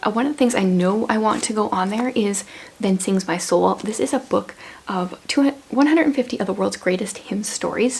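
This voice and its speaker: Noticeable background noise accompanies a woman speaking at a fairly quick pace. She has a fairly high pitch and ordinary pitch variation. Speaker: homeschooling mom vlogger. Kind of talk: casual vlog talk. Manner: fast; casual, with many fillers.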